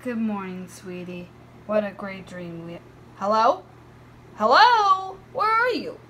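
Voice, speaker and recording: A woman does a put-on character voice at a fairly high pitch and a fairly slow pace. Long, frequent pauses break up her speech, and background noise is clear. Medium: dub.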